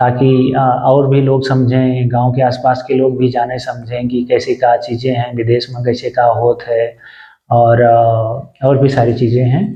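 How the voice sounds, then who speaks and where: A man's medium-pitched, somewhat breathy voice, flat and monotone, with an Awadh accent. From Ayodhya area, Uttar Pradesh, India. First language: Awadhi (speaking Hindi). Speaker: vlogger. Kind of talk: casual vlog talk to camera. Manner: halting, many fillers.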